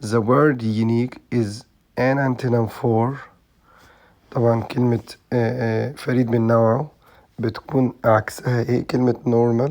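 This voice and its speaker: Speech moves at a fairly slow pace. The intonation is flat and monotone. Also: man, medium pitch for a man. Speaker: English teacher. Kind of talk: tutorial. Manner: halting with frequent fillers.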